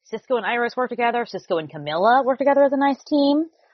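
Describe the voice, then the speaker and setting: A woman talks at a very fast pace with a fairly high pitch. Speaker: podcast host. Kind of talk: casual chat, TV recap podcast. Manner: soothing intro voice.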